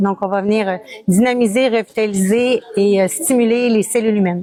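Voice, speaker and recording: A woman with a slight Quebec accent, fairly high in pitch, at a moderate pace and with fairly even intonation. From Quebec, Montreal. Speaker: wellness practitioner. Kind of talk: interview. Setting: wellness trade fair.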